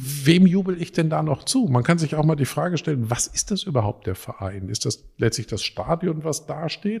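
Somewhat breathy, a man's voice swings very widely in pitch on a very clean recording with a silent background. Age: 50s. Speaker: physicist and university president. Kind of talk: interview. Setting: office with strong echo. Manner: halting.

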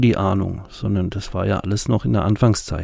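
This man has a dark, mellow tone. His pitch varies in an ordinary way. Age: 40s. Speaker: podcast host, recovering addict. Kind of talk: personal storytelling monologue.

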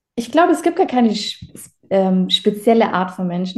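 A very fast, somewhat breathy voice with a dark, mellow tone. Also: woman. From Baden-Württemberg, Germany. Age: 20s. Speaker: agency owner, client testimonial. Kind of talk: testimonial interview.

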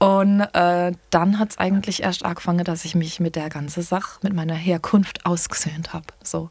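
Somewhat breathy female speech at a moderate pace, monotone and flat. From Palatinate, Landau. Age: 30s. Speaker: singer and singing DJ. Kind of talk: casual chat.

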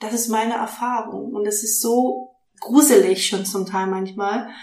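There is audible room echo around this woman's voice. Her pitch is medium and her intonation fairly even. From Stuttgart, Swabia. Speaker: life coach and podcaster. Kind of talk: casual interview. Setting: in host's kitchen.

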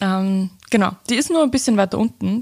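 The woman's voice sounds somewhat breathy. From Upper Austria. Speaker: podcast host and content creator. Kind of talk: casual solo Q&A podcast. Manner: animated.

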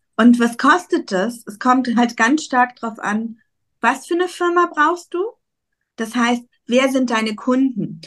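Slowly, very slowly, a woman speaks in a high pitch with lively intonation over a quiet background. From Germany, Cologne. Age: 40s. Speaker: emigration consultant. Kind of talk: casual interview chat.

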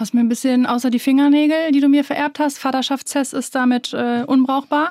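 A woman talks at a fairly quick pace in a high pitch. The recording is very clean with a silent background, and the sound is dry and close with no echo. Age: 30s. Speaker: podcast co-host, influencer. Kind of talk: casual chat.

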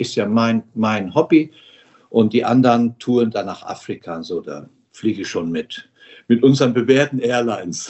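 This man talks at a moderate pace and medium pitch, with ordinary pitch variation. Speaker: founder of a school-building charity, former tour operator boss. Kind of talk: interview. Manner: animated.

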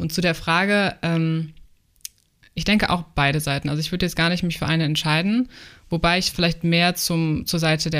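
With an unremarkable speaking voice, a woman talks at a fairly quick pace, her fairly low pitch held to fairly even intonation. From Germany, Frankfurt. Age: 20s. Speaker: aspiring travel influencer. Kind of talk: casual interview.

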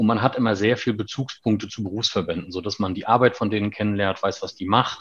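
Talking at a very fast pace with hardly any pauses, a man with a fairly low voice keeps his intonation fairly even. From Mecklenburg-Vorpommern, Germany (Schwerin). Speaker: tax advisers' association director. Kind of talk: interview.

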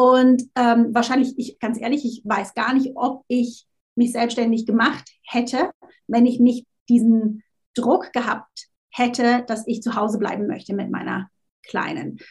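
Speaking at a fairly slow pace, a woman with a high pitch keeps her intonation fairly even. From Switzerland. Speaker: LinkedIn marketing coach. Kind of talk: interview.

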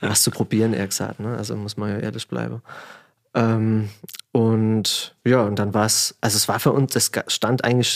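The delivery moves at a moderate pace. Its intonation is flat and monotone. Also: man. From Germany, Palatinate (Pfalz). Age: 30s. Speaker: winemaker. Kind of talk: casual chat. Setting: studio.

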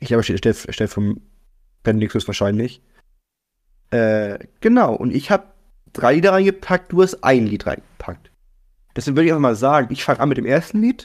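A man with a medium pitch talks at a fairly quick pace, with very wide pitch swings and long, frequent pauses. The recording is very clean, with a silent background. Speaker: podcast co-host. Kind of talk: casual chat.

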